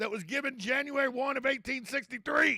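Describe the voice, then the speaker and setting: A man's raised, projected voice, bright and sharp in tone, with a South Georgia accent. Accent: South Georgia drawl. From South Georgia, US South. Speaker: talk radio host. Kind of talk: radio talk monologue. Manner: slow.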